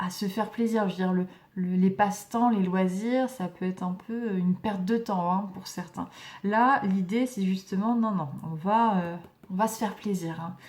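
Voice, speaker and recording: A somewhat breathy woman's voice at medium pitch, fairly slow in pace, with fairly even intonation. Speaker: tarot reader. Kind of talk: tarot reading. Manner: hesitant, many fillers.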